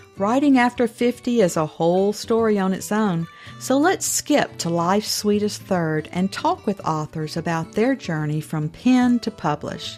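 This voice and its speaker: A woman's voice with very wide pitch swings at a fairly slow pace, music playing in the background. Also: medium pitch for a woman, hardly any pauses. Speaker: podcast host; former teacher. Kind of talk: podcast intro.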